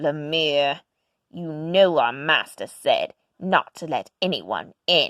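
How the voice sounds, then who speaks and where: Pitched in the middle range, the put-on character voice drags along at a very slow pace. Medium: read story.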